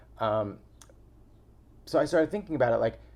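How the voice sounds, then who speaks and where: A man with an American accent. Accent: Staten Island accent, put on at times. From New York, Staten Island. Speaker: podcast host, relationship coach. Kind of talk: casual monologue vlog.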